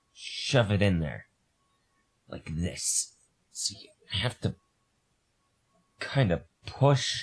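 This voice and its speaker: Delivered at a very slow pace with long, frequent pauses, the voice shows vocal fry and very wide pitch swings. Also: man, fairly low pitch for a man, big swings in loudness. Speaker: streamer doing a repair. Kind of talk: casual live-stream chat while working. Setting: live stream.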